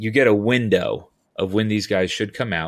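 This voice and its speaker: On a very clean recording with a silent background, a man with an American accent and an unremarkable speaking voice talks at a moderate pace, fairly low in pitch and with fairly even intonation. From Southern California. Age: 40s. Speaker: utility locating business owner. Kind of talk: casual interview.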